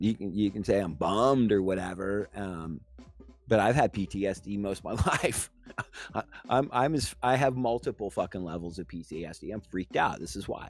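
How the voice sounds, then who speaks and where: A man of fairly low pitch talks at a fairly quick pace. Music plays in the background. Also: lively intonation. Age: 40s. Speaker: political chat show host. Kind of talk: casual political discussion. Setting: online video call livestream. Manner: halting, many fillers.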